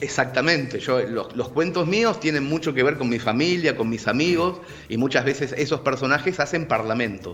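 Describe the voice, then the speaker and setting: A man's fairly high voice comes through with noticeable background noise behind it. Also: lively intonation, moderate pace. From Argentina, living in Barcelona. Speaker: writer and storyteller. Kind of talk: casual video-call interview answer.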